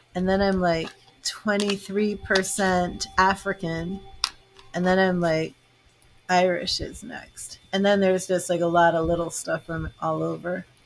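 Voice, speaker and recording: In an American accent, a woman with a medium pitch speaks fairly slowly in a flat monotone amid noticeable background noise. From Boston, Massachusetts. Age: 50s. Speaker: tarot reader and psychic medium. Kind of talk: casual chat.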